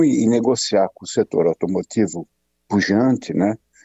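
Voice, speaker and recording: The pitch of this man's voice varies in an ordinary way. He talks fairly slowly. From Brazil, São Paulo. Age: 60s. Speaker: pathologist and medical professor. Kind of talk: radio interview. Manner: halting, many fillers.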